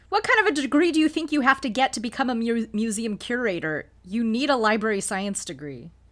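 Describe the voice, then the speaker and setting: A woman talks fairly quickly at a fairly high pitch, with hardly any pauses. Her pitch swings very widely over noticeable background noise. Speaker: podcast panelist. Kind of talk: casual chat.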